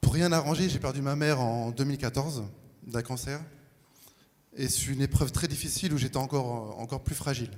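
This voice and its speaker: A man with a medium pitch speaks at a moderate pace, leaving long, frequent pauses, and there is audible room echo. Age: 40s. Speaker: baptism candidate. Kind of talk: testimony. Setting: church.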